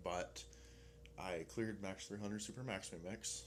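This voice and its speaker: A man with a very deep, low pitch, vocal fry and ordinary pitch variation. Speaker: vlogger. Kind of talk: casual vlog monologue. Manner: fast.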